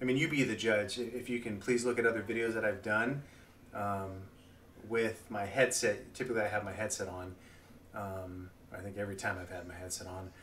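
A man with a bright, sharp tone talks at a fairly quick pace and ordinary pitch variation over light background noise. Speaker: gamer vlogger. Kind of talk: casual vlog chat. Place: home room.

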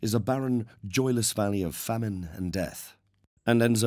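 Against a quiet background, the clip carries a natural reading voice with ordinary pitch variation.

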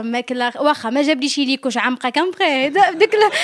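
At a moderate pace, a woman with a northern Moroccan accent talks with ordinary pitch variation. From northern Morocco. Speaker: guest. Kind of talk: casual chat. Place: home room. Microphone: handheld.

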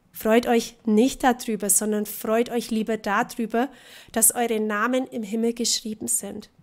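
A woman speaks at a very slow pace with a fairly high pitch. The background is quiet. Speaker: preacher. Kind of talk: sermon, preacher in full flow, passionate and urgent. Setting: church. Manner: animated, emphatic, mocking tone with laughter and rhetorical questions; rhythmic, repeating contrasts in pulpit style. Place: church.

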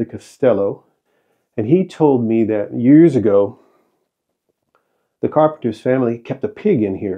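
A man's voice at a moderate pace, with ordinary pitch variation and a quiet background. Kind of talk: casual vlog tour narration. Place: workshop. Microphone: phone near.

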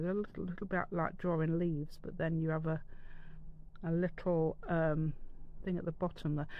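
A woman speaks at a low pitch and a moderate pace. Her intonation stays fairly even.

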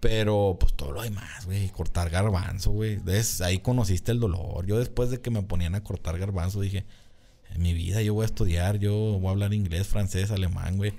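At a moderate pace, a man speaks with a fairly low pitch, a dark, mellow tone and fairly even intonation. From Jalisco, Mexico (Tonalá / Guadalajara area); Jalisco, Mexico. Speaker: agronomist; podcast guest. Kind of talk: casual chat. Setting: studio. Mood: relaxed, candid, joking. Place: studio. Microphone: studio mic.

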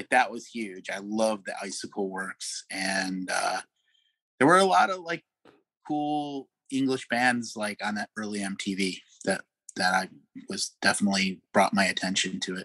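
A man with an American accent speaks fairly slowly in a fairly low pitch with lively intonation. The tone is bright and sharp, and the sound is dry and close with no echo. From Chicago. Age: 50s. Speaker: record producer. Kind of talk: interview.

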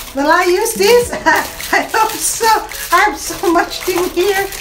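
Noticeable background noise runs under a woman talking. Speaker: home vlogger. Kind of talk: casual unboxing vlog chat. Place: home room. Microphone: lapel.

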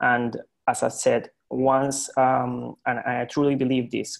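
Against a quiet background, a man speaks at a very slow pace with monotone, flat intonation. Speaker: cooperative developer; presenter. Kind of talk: casual discussion. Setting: video call. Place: home room. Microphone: video call.

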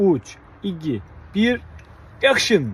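A man speaks with very wide pitch swings. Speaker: fisherman. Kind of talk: casual talk to camera. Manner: natural, playful.

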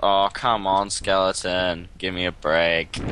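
Recorded dry with no echo and light background noise, a man speaks in a very deep, low pitch with a bright, sharp tone. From Australia. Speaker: gaming video maker. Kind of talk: casual gaming commentary. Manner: animated, jokey.

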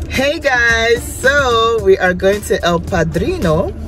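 Clear music sounds behind the voice. The speaker is a woman. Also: dry sound with no echo. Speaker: vlogger. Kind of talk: casual vlog chat. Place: car. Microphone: phone near.

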